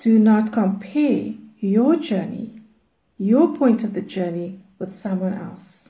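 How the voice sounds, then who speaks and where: This somewhat breathy voice has a dark, mellow tone and lively intonation at a very slow pace. Audible room echo is present. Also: woman, medium pitch for a woman. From South Africa, Cape Town. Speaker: prayer movement leader. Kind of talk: teaching.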